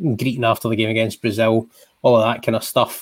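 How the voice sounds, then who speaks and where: Medium in pitch, this man's voice carries a Scottish accent. He is the only speaker described. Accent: Scottish (Ayrshire). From Scotland, Ayrshire. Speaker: podcast host, sports journalist. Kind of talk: casual chat. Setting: video call.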